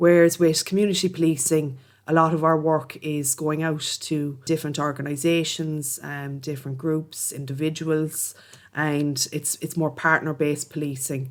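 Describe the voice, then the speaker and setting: On a very clean recording with a silent background, a woman with a Cork accent speaks at a moderate pace in a very deep, low pitch with monotone, flat intonation. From Ireland, Cork. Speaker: police officer. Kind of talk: interview.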